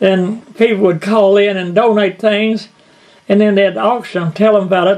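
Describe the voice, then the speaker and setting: A man with a Kentucky accent talks at a fairly quick pace. His high voice stays monotone, with flat intonation. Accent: Southern US, Kentucky. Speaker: bluegrass musician and storyteller. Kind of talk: storytelling interview.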